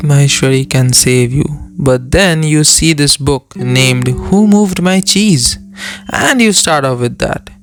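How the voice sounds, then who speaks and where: A man at a fairly slow pace, music in the background. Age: young. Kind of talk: opinion talk to camera.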